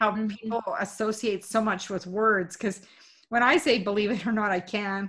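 A woman talks at a moderate pace with an ordinary speaking voice at medium pitch. The recording is very clean, with a silent background. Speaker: podcast host and coach. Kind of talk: interview.

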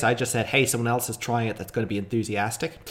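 A man with an Irish accent, talking at a very fast pace. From Ireland. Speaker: podcast host. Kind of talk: casual chat.

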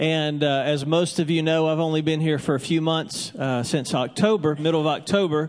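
A plain, everyday voice at a moderate pace, with hardly any pauses, fairly even intonation and very even loudness. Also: man, fairly high pitch for a man. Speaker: church pastor. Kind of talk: church welcome, introduction and closing prayer. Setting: church with congregation. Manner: warm, friendly, casual.

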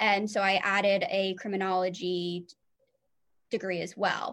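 With an American accent, a woman speaks at medium pitch with fairly even intonation. It is an ordinary speaking voice. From New Jersey. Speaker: social worker. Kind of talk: interview.

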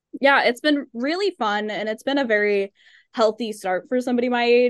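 An unremarkable speaking voice moves at a fairly quick pace with ordinary pitch variation over a quiet background. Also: woman. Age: 20s. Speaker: podcast co-host. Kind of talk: casual interview chat.

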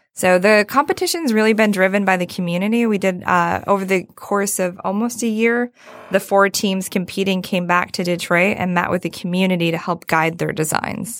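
A woman with an American accent talks at a moderate pace and medium pitch, with hardly any pauses. She has a normal speaking voice and fairly even intonation. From Michigan (Saginaw). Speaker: nonprofit fundraising executive. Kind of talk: interview conversation.

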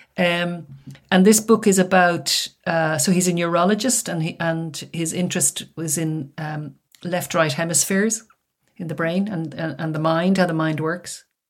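A woman in an Irish accent, fairly low in pitch, at a moderate pace with fairly even intonation. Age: 60s. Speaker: author and retired academic. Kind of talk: interview.

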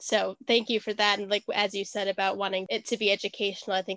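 A woman with an American accent and medium pitch talks at a fairly quick pace in a flat monotone, with a dry, close sound, no echo and a quiet background. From US Midwest (Wisconsin). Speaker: podcast producer. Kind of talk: casual chat.

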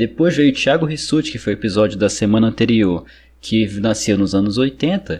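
An ordinary speaking voice from a man at medium pitch and moderate pace, lively intonation, on a very clean recording with a silent background. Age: 20s. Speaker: podcast host. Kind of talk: casual interview.

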